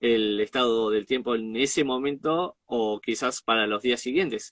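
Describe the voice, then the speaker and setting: With an Argentine accent, a man speaks with ordinary pitch variation in a dry, close sound with no echo. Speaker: interviewer and show host. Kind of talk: interview question.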